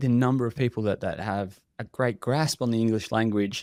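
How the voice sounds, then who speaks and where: Dry and close with no echo, a man with an Australian accent talks at a fairly quick pace. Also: very clean recording, silent background. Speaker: contact center industry expert. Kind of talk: podcast interview. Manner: animated; halting.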